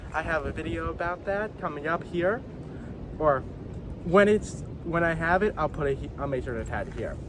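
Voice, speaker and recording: Speaking with an American accent, a man is heard against noticeable background noise. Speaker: wildlife vlogger. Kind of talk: outdoor vlog narration. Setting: outdoors on a hike.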